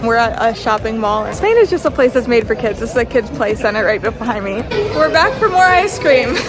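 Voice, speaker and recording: A woman with a high voice and an American accent speaks at a fairly quick pace. Music plays behind her, and the room has an audible echo. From United States. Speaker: travel vlogger, mother. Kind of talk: casual vlog talk to camera. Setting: shopping mall.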